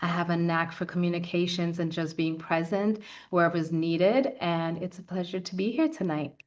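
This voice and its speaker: Fairly quick and fairly even in intonation, a woman talks at a fairly low pitch with an ordinary speaking voice. The background is quiet. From New York City, the Bronx (born in Guyana). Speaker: community foundation founder and lobbyist. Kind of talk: panel discussion.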